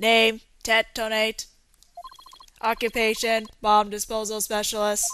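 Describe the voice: A woman's put-on, robotic character voice at a fairly high pitch, monotone and flat, fairly slow with long, frequent pauses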